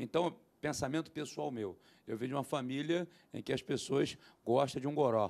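This voice has a dark, mellow tone, ordinary pitch variation, and a fairly quick pace. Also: man. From Brazil. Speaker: pastor and theologian; pastor. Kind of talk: panel discussion; panel discussion answer. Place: studio. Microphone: handheld.

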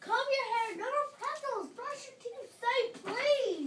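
A put-on character voice, female-sounding and pitched extremely high. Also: fairly slow pace. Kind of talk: grown-up, adult-sounding. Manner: bossy, ordering.

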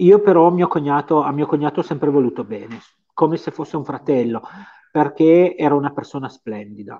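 In a Piedmontese accent, a man speaks with fairly high pitch and ordinary pitch variation, leaving long, frequent pauses against a quiet background. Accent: Piedmontese, sing-song. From Piedmont, Italy. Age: 50s. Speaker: medium; guest. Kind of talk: interview. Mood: earnest, emotional storytelling. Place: home room. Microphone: video call.

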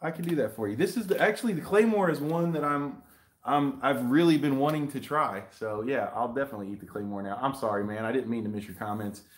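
His pitch leaps and dips very widely. This man rattles along at a very fast clip. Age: 40s. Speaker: YouTube hot sauce reviewer. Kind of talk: live stream unboxing chat. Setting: live video stream shot in selfie mode. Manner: animated. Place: home room. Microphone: webcam.

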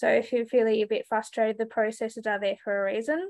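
With an Australian accent, a woman speaks at a fairly quick pace and a fairly high pitch, her voice dry with no echo against a quiet background. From Tasmania, Australia. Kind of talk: webinar panel. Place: home room. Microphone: video call.

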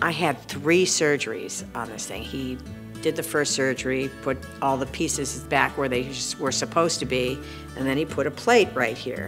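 Clear music plays in the background. Over it, a woman speaks at a moderate pace. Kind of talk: interview answer. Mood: warm, storytelling. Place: studio.

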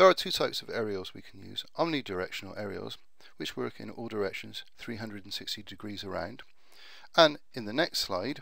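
A man with a Bristol accent talks at a fairly quick pace, his loudness swinging widely. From Bristol, UK. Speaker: IT networking retailer. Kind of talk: tutorial narration over slides.

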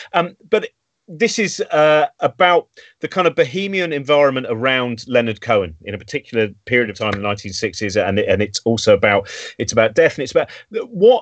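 At a fairly quick pace, a man with an English accent speaks at a fairly high pitch, with big swings in loudness. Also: quiet background. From England. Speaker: show host. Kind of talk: casual chat. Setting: video call. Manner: animated. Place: home room. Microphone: video call.

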